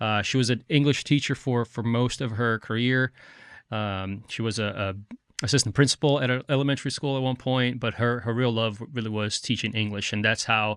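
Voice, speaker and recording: Over a quiet background, a man with a slight Brazilian accent talks at a fairly quick pace with fairly even intonation. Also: medium pitch for a man. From Brazil, Rio de Janeiro. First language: Portuguese. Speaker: firefighter and author. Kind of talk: podcast interview.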